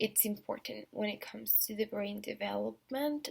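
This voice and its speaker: Speaking with a non-native accent, the woman is heard here. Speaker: student. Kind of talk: class presentation. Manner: halting, many fillers.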